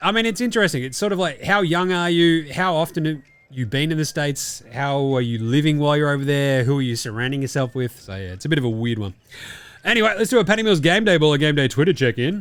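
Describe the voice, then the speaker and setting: A man with an Australian accent, very fast, fairly high-pitched, with very wide pitch swings. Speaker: sports podcast host. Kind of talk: casual chat. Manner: casual, swearing.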